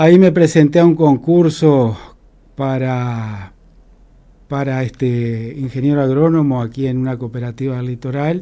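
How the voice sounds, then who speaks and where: The voice has a dark, mellow tone with ordinary pitch variation. It moves at a fairly slow pace. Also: man, medium pitch for a man. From Uruguay, Colonia/Soriano interior (Cardona). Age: 60s. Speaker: political candidate, agronomist. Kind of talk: radio interview.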